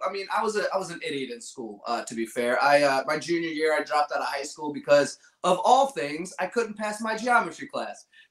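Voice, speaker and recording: A high-pitched man with an American accent speaks with very wide pitch swings and big swings in loudness, hardly pausing. Noticeable background noise is present. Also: fairly quick pace. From Virginia, US. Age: 40s. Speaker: manufacturing influencer. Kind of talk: interview.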